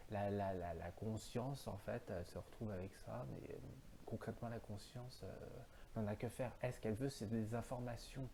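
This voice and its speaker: A man speaks at a moderate pace and medium pitch with ordinary pitch variation. His tone is dark and mellow, with vocal fry. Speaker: philosophy video host. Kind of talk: solo philosophical monologue. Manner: halting, many fillers.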